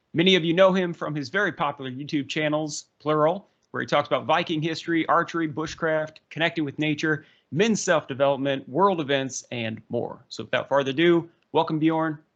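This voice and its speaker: Against a quiet background, the voice moves at a fairly quick pace with ordinary pitch variation. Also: man, fairly high pitch for a man. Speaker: history podcast host. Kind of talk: interview. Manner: fast.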